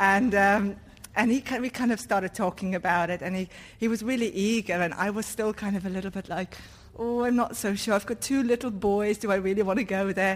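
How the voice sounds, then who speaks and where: A woman's unremarkable speaking voice, with fairly even intonation. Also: medium pitch for a woman, fairly quick pace. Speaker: church member. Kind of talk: testimony. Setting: church.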